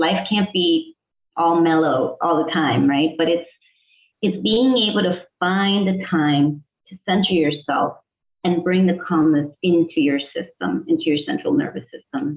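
A woman with a fairly low pitch speaks in an ordinary speaking voice. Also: lively intonation, fairly slow pace. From Connecticut, US (born in El Salvador). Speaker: integrative health coach. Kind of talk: interview.

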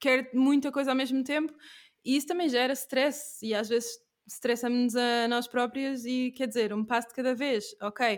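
Her intonation fairly even and her loudness very even, a woman talks at a high pitch and moderate pace on a very clean recording with a silent background. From Portugal. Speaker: podcast host. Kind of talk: podcast interview; scripted intro.

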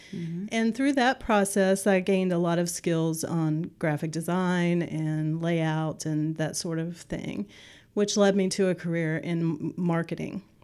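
A woman speaks in a plain, everyday voice, fairly low in pitch and fairly slow in pace. Her pitch varies in an ordinary way on a very clean recording with a silent background. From West Virginia, Kanawha Valley. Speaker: nonprofit executive director. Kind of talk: interview.

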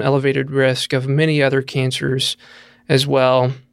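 In a very clean recording with a silent background, a man with a Southern US accent speaks fairly slowly at a fairly high pitch. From rural Tennessee. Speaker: cancer researcher, professor. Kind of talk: interview.

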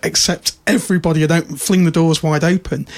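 A man's high-pitched voice at a fairly quick pace. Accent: British. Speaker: podcast host. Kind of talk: casual chat. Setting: studio.

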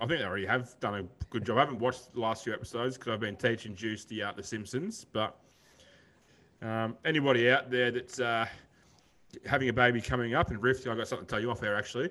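The intonation is fairly even as a man speaks at medium pitch. He goes at a very fast pace. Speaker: podcast host. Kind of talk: casual chat.

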